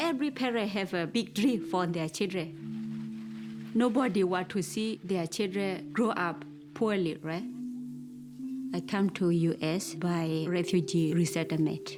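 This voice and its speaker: Over background music, a woman speaks at a fairly slow pace with a fairly low pitch and lively intonation. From Burma. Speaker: social worker. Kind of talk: interview testimony.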